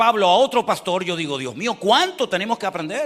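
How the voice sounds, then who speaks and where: A man speaks in a high pitch with a bright, sharp tone. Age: 60s. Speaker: pastor. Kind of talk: sermon.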